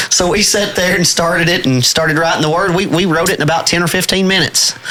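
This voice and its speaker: A man speaks at a very fast pace in a strong East Tennessee accent, his pitch high and his loudness very even. Noticeable background noise runs underneath. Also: fairly even intonation. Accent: thick East Tennessee. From East Tennessee, La Follette. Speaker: bluegrass musician and radio DJ. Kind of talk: casual interview chat. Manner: halting, many fillers.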